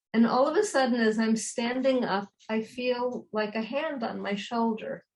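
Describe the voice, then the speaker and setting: This woman has a fairly high pitch and fairly even intonation. She keeps a moderate pace. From New York. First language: Yiddish. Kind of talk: interview answer.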